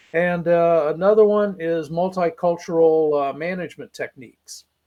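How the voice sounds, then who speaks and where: A man with an American accent speaks at a moderate pace in a high pitch, his intonation fairly even. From Ohio, US Midwest. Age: 60s. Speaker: retired steel worker and part-time college teacher. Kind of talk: interview.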